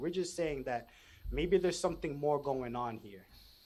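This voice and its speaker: A man talks with a fairly high pitch. The pitch moves up and down in an ordinary way. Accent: New York. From New York. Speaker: podcast guest, spiritual content creator. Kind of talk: casual interview chat. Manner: loud and excited; animated, halting with restarts.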